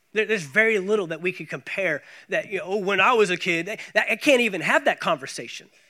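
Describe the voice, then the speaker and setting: A raised, projected voice with a bright, sharp tone and an American accent, very fast and lively in intonation, on a very clean recording with a silent background. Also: man, high pitch for a man. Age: 30s. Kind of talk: sermon. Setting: church.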